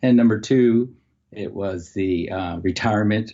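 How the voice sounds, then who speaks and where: Pitch varies in an ordinary way at a moderate pace. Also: man. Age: 70s. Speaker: umpire and retired high school educator. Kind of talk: casual interview chat.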